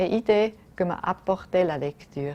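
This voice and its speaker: A woman with a German accent talks at a fairly slow pace in a fairly low pitch. Her tone is dark and mellow, with ordinary pitch variation. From German-speaking Switzerland. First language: German (speaking French). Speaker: diplomat. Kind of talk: prepared statement.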